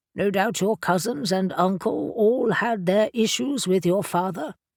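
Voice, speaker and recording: At a fairly slow pace, someone performs a put-on character voice on a very clean recording with a silent background. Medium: read story. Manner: warm, wise, gently teasing.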